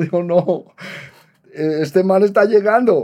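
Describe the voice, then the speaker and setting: Over a quiet background, a man with a dark, mellow tone speaks at a fairly slow pace. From Colombia, Bogotá. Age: 70s. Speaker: rock musician. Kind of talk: interview storytelling.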